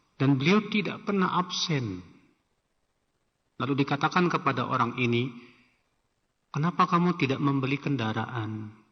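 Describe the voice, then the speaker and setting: Moderate speed and lively intonation, with long pauses coming often. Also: man, fairly high pitch for a man. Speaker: Islamic preacher. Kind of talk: religious lecture with Q&A. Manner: conversational, informal asides.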